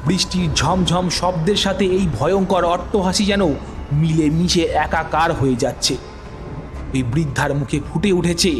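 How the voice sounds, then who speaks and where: A man speaks, his pitch varying in an ordinary way. Behind him, music is playing. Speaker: audio story narrator. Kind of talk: horror audio story narration.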